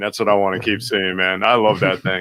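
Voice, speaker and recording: A man with a New York accent talks at a very fast pace in an animated tone. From New York City, Greenwich Village. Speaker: photographer. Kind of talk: casual chat.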